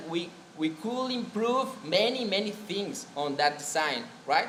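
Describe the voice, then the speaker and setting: A man's high-pitched voice with a Spanish accent and lively intonation, at a fairly slow pace, with audible room echo and noticeable background noise. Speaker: biomedical engineer presenting at a conference. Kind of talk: conference presentation. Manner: halting.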